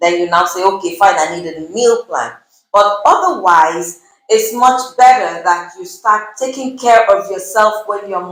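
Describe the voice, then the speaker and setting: This woman has a normal speaking voice, pitched fairly high, with lively intonation. She talks at a fairly slow pace. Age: 50s. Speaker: nutritionist. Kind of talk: interview.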